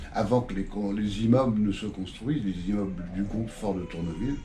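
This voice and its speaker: A man with a fairly low voice talks at a fairly quick pace, with audible room echo and noticeable background noise. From northern France, Le Havre (Normandy). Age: 70s. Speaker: local historian. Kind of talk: casual interview. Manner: halting.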